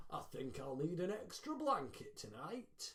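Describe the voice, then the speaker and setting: In a put-on character voice, a man speaks at a high pitch with very wide pitch swings. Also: moderate pace. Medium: read story. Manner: gentle, kindly.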